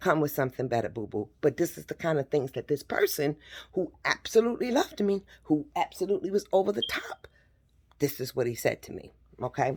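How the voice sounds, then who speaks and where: The speaker has an animated tone, talks at a fairly quick pace, and makes very wide pitch swings. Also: woman, very deep, low pitch for a woman. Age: 50s. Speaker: vlogger. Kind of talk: personal testimony.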